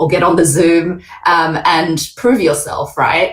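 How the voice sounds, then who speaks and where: Somewhat breathy, a woman with an Australian accent speaks at a very deep, low pitch. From Australia, Sydney. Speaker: panel moderator. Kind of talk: panel discussion.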